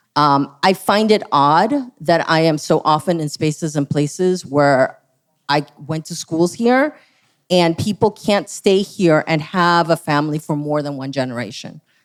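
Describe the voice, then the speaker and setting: A woman speaks with a Spanish accent in a very deep, low pitch. Her pace is fairly slow, with ordinary pitch variation. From San Francisco, California. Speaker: school board candidate. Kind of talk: candidate forum answer. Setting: stage with audience.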